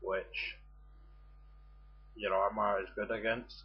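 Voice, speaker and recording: A man talks at a very slow pace. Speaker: video game guide maker. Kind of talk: game tutorial commentary. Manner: hesitant, filler words.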